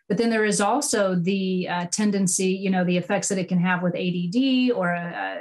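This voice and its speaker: Somewhat breathy, a woman speaks at a medium pitch with ordinary pitch variation. Her pace is moderate. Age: 40s. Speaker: podcast host. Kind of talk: interview podcast conversation.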